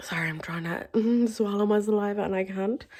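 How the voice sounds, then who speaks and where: A woman's dark, mellow voice in an Irish accent. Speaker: vlogger. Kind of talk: casual vlog talk. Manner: rambling filler-heavy speech.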